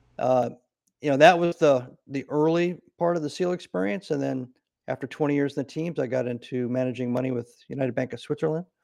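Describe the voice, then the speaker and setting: The recording is dry and close with no echo, catching a man with an ordinary speaking voice. His pitch is fairly high with ordinary variation, and his pace is fairly quick. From US Midwest, Nebraska. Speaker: retired Navy SEAL officer and CEO. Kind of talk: interview.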